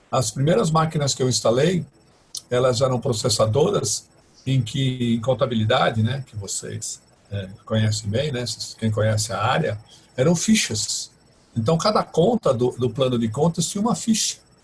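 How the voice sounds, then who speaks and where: Noticeable background noise sits behind the speech. Delivery moves at a moderate pace with lively intonation. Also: man, medium pitch for a man. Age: 60s. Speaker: professor and IT professional. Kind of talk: interview, personal career story. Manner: halting, many fillers and restarts.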